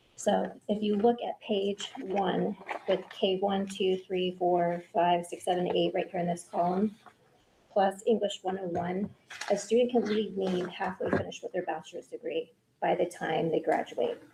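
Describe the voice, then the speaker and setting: Noticeable background noise runs under a woman speaking at a medium pitch. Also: fairly even intonation. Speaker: school administrator presenting to board. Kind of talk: board meeting presentation. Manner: fast.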